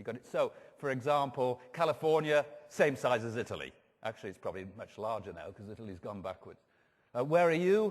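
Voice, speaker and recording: An English accent from a man with medium pitch, fairly quick pace, very wide pitch swings and big swings in loudness. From England. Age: 60s. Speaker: professor of food marketing. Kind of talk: conference talk. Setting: stage with audience. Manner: animated.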